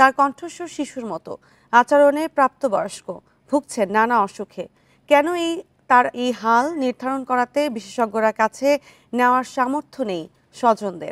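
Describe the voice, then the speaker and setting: High-pitched and lively in intonation, a woman's voice comes through dry and close with no echo, in a very clean recording over a silent background. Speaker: news anchor. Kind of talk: TV news intro read.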